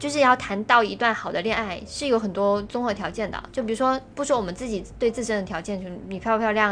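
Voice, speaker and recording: Hardly pausing at all, the speech races at a very fast pace while its pitch varies in an ordinary way. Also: woman. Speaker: podcast co-host. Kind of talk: casual chat.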